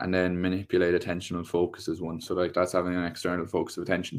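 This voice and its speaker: Against a quiet background, a man with an Irish accent speaks at a very deep, low pitch. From Ireland. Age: 20s. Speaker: PE teacher and tennis coach. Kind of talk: casual chat.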